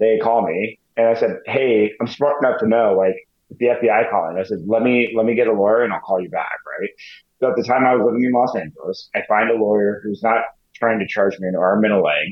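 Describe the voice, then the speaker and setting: Speaking in a plain, everyday voice, a man talks fairly quickly at medium pitch with ordinary pitch variation. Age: 40s. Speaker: January 6th defendant. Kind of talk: interview.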